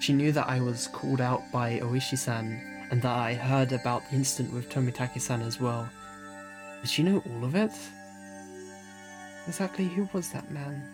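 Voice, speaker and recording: Long, frequent pauses break up lively intonation, with music playing in the background. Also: man, medium pitch for a man, moderate pace. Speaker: visual novel reader. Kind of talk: read story with character voices. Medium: read story.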